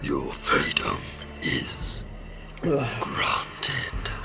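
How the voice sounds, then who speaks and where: A man whispers in a put-on character voice. Loud background noise fills the recording. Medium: audio drama. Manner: cold, clipped.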